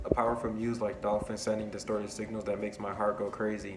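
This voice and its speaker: A man talks at a very fast pace. His pitch is fairly low and his intonation monotone and flat. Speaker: college student. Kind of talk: poetry reading.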